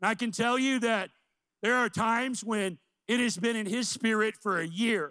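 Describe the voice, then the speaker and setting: In an American accent, a man uses a raised, projected voice with a bright, sharp tone and high pitch, at a moderate pace with ordinary pitch variation and very even loudness over a quiet background. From US Midwest, central Illinois. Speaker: missions pastor. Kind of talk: sermon. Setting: church. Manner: animated. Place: church. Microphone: handheld.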